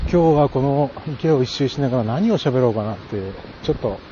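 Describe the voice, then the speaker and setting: Against noticeable background noise, a man talks at a fairly quick pace with a medium pitch and ordinary pitch variation. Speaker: podcaster. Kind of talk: walking monologue. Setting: outdoors walking around a pond. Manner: casual, with frequent fillers and laughter.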